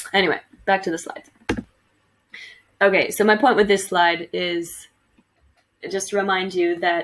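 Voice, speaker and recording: A woman with an American accent, medium pitch and fairly even intonation. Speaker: teacher. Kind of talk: recorded lecture for students. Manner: casual, with fillers.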